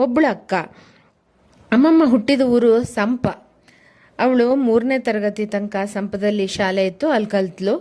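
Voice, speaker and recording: A woman's dark, mellow tone, fairly high in pitch, with ordinary pitch variation. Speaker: cooking channel host. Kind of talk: casual talk to camera.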